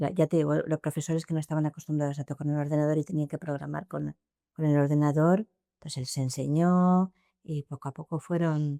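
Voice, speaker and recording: The voice has a dark, mellow tone and a monotone, flat intonation. The recording is very clean, with a silent background and a dry, close sound with no echo. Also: woman. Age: 60s. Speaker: former school principal. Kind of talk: interview. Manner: halting, with repetitions.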